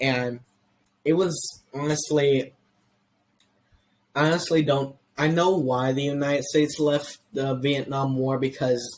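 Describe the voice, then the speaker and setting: Speaking at a fairly slow pace with long, frequent pauses, a man with an American accent keeps a fairly high pitch and a monotone, flat intonation. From US, Mexican heritage. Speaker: history podcast host. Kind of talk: casual podcast chat. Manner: halting, many restarts.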